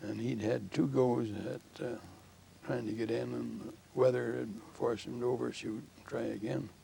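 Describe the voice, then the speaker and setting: A man's fairly low voice at a moderate pace, with very wide pitch swings and noticeable background noise. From southern Ontario, Canada. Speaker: war veteran. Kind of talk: interview. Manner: halting.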